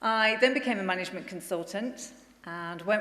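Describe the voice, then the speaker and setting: A woman talks at a medium pitch and a moderate pace. Audible room echo surrounds her voice. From northern England, Bolton. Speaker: incoming charity chief executive. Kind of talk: conference speech.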